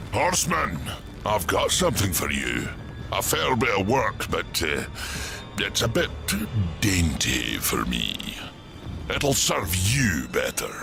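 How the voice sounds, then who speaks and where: A man's cartoonish character voice at a fairly slow pace, over loud background noise. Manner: gruff, folksy.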